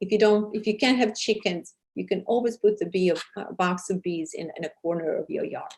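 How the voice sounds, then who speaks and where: The voice is somewhat breathy and moves at a fairly quick pace with hardly any pauses. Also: woman, medium pitch for a woman, ordinary pitch variation. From Serbia. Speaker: TV host and charity founder. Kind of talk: interview. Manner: hesitant, many fillers.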